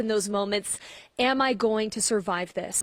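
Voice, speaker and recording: A woman with an American accent and an ordinary speaking voice talks at a moderate pace with fairly high pitch and fairly even intonation, in a dry, close sound with no echo. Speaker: TV news reporter and anchor. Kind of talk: broadcast news reporting. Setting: outdoors, on location at news scenes.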